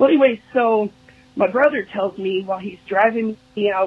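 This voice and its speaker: A woman's fairly high voice at a moderate pace, with ordinary pitch variation and a dry sound free of echo. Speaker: listener leaving voicemail; podcast host. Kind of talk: voicemail message. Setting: phone call. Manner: enthusiastic. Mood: warm, amused. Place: studio.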